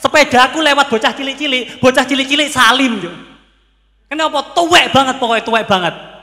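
Man at an extremely high pitch, raised and projected, animated tone, fairly quick pace, quiet background. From Pasuruan, East Java; East Java, Indonesia. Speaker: stand-up comedian (competitor). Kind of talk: stand-up comedy; stand-up comedy routine. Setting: stage with audience. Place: stage. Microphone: handheld.

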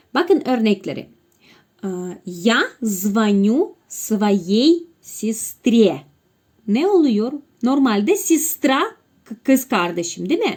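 Very slow speech in a Russian accent, with very wide pitch swings and long, frequent pauses. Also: woman, fairly high pitch for a woman. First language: Russian (speaking Turkish). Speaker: language teacher. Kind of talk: tutorial. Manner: halting.

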